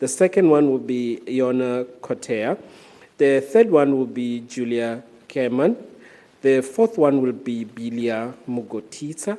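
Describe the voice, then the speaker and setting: A man with a strong African accent speaks fairly slowly at medium pitch, his tone dark and mellow and his pitch varying an ordinary amount. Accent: thick African. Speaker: event moderator. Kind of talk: event hosting.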